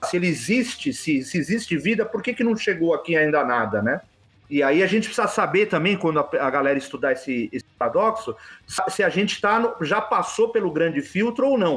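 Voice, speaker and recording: Music plays behind a man with a high pitch and very wide pitch swings. His loudness stays very even. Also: fairly quick pace. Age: 40s. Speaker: UFO enthusiast. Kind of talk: casual chat.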